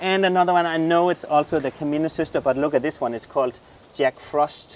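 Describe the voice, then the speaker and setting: Someone talks at a fairly quick pace with fairly even intonation while noticeable background noise runs underneath. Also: man. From southern Jutland, Denmark. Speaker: gardener, garden channel host. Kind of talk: garden tour, casual chat. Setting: outdoors in garden.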